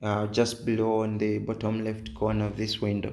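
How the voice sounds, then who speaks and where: A man is talking. There is audible room echo. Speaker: game tutorial creator. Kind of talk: tutorial. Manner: hesitant, many fillers.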